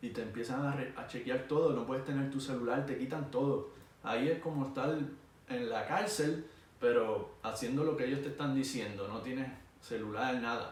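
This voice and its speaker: A man with a Puerto Rican accent is heard through audible room echo and noticeable background noise. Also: medium pitch for a man, moderate pace. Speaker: air force veteran vlogger. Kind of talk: personal storytelling vlog. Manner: animated.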